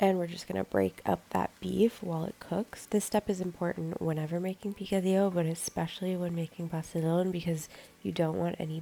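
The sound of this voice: A woman speaks fairly quickly at a fairly low pitch, her dark, mellow tone nasal and edged with vocal fry.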